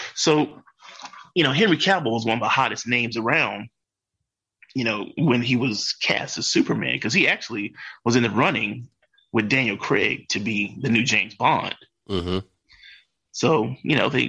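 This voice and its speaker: With a bright, sharp tone, a man speaks with long, frequent pauses over a quiet background. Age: 40s. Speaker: comic book enthusiast. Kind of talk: casual chat.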